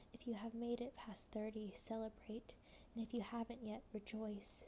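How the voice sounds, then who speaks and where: A woman speaks in a soft-spoken way. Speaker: ASMR creator and poetry reader. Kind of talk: poem reading, slow and measured. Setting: home, candlelit, with tea. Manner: soft-spoken, cozy.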